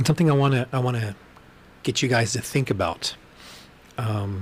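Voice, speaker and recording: Somewhat breathy and very fast, a man speaks with an American accent and ordinary pitch variation. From Texas. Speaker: podcast host. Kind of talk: casual livestream monologue. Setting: livestream.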